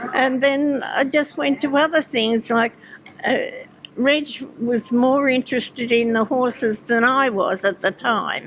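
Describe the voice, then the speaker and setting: The speaker talks at a fairly slow pace with very even loudness over noticeable background noise. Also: woman, high pitch for a woman, ordinary pitch variation. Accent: Australian. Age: 80s+. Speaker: retired businesswoman and harness racing owner. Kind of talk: interview. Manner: halting.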